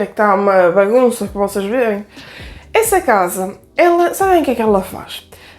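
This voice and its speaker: A woman with a northern Portuguese accent and very wide pitch swings, with music in the background. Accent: northern European Portuguese. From Aveiro district, northern Portugal. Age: 20s. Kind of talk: casual talk to camera.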